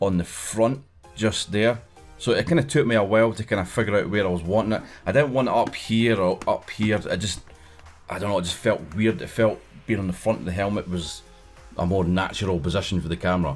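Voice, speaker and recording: Faint music plays behind a man speaking at a fairly low pitch. His pace is fairly quick, with ordinary pitch variation. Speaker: motovlogger. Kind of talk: tutorial. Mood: relaxed, friendly. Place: home room.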